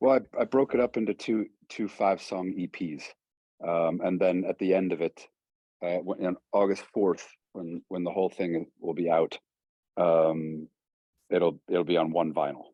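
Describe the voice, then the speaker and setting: A man with a very deep, low pitch speaks with fairly even intonation and long, frequent pauses. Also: moderate pace. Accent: American. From Cleveland, Ohio (Shaker Heights). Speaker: singer-songwriter. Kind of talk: interview. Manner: halting, many fillers.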